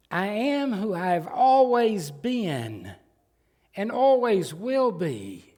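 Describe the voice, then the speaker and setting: A man with a Southern US accent talks very slowly in a high-pitched voice that has a dark, mellow tone and lively intonation. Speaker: pastor. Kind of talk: sermon. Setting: church.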